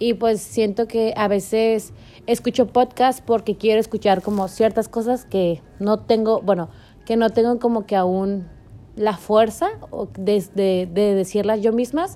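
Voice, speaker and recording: A woman with a dark, mellow tone and fairly high pitch talks at a fairly slow pace with fairly even intonation. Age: 20s. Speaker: university student podcaster. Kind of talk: casual solo monologue.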